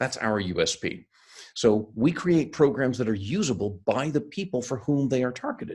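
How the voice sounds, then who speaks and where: A man talks at a moderate pace in a medium pitch, his voice somewhat breathy. His pitch swings very widely, and the recording is very clean with a silent background. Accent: American. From US, Seattle (born in India). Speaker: sales and leadership consultant, keynote speaker. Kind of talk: interview. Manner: hesitant with fillers and repeats.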